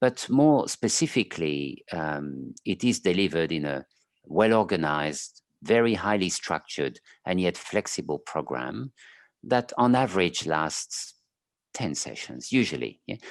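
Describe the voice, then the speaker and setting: A man with a very deep, low voice and a French accent speaks at a fairly slow pace with very wide pitch swings, in a dry, close sound with no echo and a quiet background. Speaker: clinical psychologist. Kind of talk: interview. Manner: halting.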